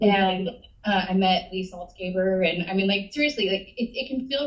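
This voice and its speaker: This woman talks at a fairly quick pace in a medium pitch, her voice somewhat breathy, with ordinary pitch variation. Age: 40s. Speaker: hospital staff member giving public comment. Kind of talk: public comment at a board meeting.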